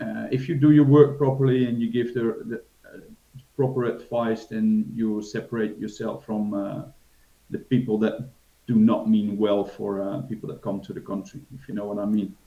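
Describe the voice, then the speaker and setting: Speaking with a Dutch accent, a man of medium pitch has a dark, mellow tone, fairly even intonation, big swings in loudness and a moderate pace. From Netherlands. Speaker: financial advisor. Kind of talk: interview. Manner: hesitant, many fillers.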